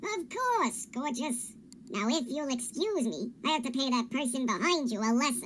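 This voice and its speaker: A female-sounding voice uses a put-on character voice at a high pitch. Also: moderate pace. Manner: smug, flirtatious then threatening.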